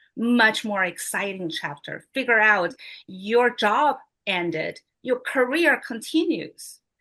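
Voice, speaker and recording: A woman speaks very slowly with a non-native accent in a bright, sharp tone against a quiet background. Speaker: motivational speaker, regional advisor. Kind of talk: motivational speech.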